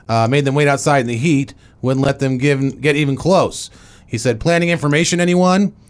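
This man has an unremarkable speaking voice, fairly high in pitch with ordinary pitch variation, and he talks fairly quickly.

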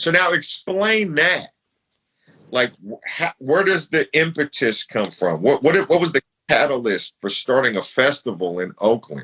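At a fairly slow pace, a fairly high-pitched man with an American accent speaks in a bright, sharp tone with vocal fry and very wide pitch swings, the sound dry and close with no echo. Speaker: podcast host and rapper. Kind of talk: casual interview. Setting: Instagram live. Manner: animated.

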